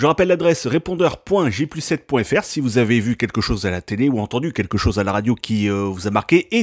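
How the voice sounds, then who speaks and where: The sound is dry and close, with no echo at all. Very wide pitch swings run through the speech. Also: man. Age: 30s. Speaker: radio host. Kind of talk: casual chat; news reading.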